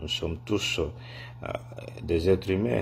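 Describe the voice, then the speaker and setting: A man's very deep, low voice at a very slow pace, with light background noise. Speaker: political commentator. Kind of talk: opinion vlog message. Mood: indignant, disappointed. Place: home room. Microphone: phone near.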